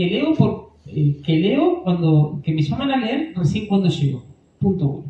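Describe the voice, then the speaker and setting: Noticeable background noise runs through the clip. The speaking pace is fairly slow. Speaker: parish lay instructor for readers. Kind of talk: workshop talk. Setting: parish hall with microphone.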